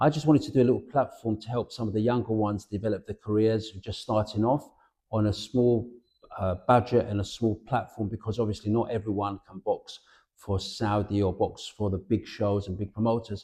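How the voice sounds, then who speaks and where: Over a quiet background, a man talks at a fairly quick pace with a dark, mellow tone, fairly even intonation and a somewhat breathy quality. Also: fairly low pitch for a man. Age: 60s. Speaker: boxing promoter. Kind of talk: interview. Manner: halting, with frequent restarts.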